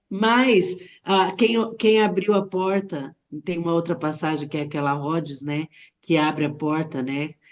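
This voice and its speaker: This woman has a plain, everyday voice, fairly low in pitch, moving at a fairly slow pace with ordinary pitch variation. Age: 60s. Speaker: Bible study participant. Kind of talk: Bible study discussion. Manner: casual.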